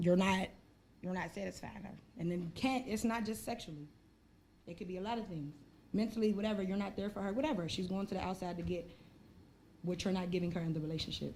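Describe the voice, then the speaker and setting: At a fairly quick pace, a woman talks with a somewhat breathy voice. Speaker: podcast host. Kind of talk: casual chat.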